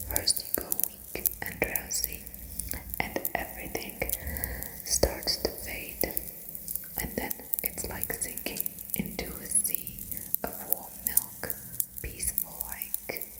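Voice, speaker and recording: Whispering at a very slow pace with long, frequent pauses, the speaker is heard over noticeable background noise. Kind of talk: whispered ASMR book reading for sleep. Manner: whispered, clicky mouth sounds.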